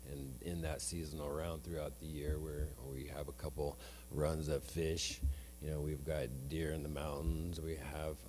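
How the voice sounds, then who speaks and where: Audible room echo carries a man's very deep, low voice as he speaks with an American accent at a moderate pace and with fairly even intonation. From northeastern Oregon, Umatilla Indian Reservation. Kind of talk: land acknowledgement speech. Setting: event hall with audience.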